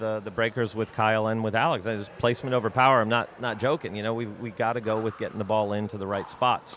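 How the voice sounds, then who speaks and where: With noticeable background noise behind him, a man talks very fast at a medium pitch. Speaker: pickleball commentator and coach. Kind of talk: live commentary. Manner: animated.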